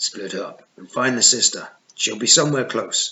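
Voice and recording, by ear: A man puts on a gruff, raspy character voice at a medium pitch, speaking at a moderate pace.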